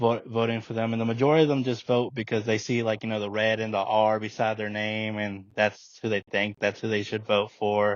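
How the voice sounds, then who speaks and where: Fairly quick and fairly low-pitched, a man speaks in a monotone, flat intonation. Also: hardly any pauses. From Alabama, US South, from about age five (born in Mexico). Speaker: DACA recipient sharing his immigration story. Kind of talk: casual interview conversation. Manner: halting, many fillers and repeated words.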